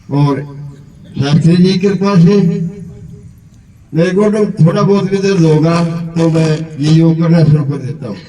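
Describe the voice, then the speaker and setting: Amid noticeable background noise and audible room echo, a man speaks in a high voice with ordinary pitch variation and long, frequent pauses. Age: 70s. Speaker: yoga participant. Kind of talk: testimony.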